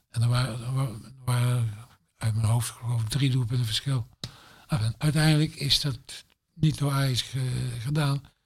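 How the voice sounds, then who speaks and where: A man talks at a moderate pace with a medium pitch and a somewhat breathy voice. His intonation stays fairly even, broken by long, frequent pauses. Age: 70s. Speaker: former football club manager. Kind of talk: casual chat.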